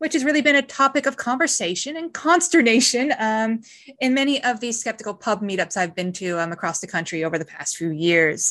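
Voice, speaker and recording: This woman's voice sits fairly high and moves in very wide pitch swings. Her tone is bright and sharp, over a quiet background. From Newfoundland, Canada. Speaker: podcast co-host. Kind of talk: casual chat.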